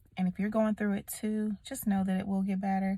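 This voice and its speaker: This woman talks at a fairly quick pace, her voice somewhat breathy. Her pitch sits at a medium level. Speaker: vlogger. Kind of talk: casual vlog talk to camera. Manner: casual, conversational.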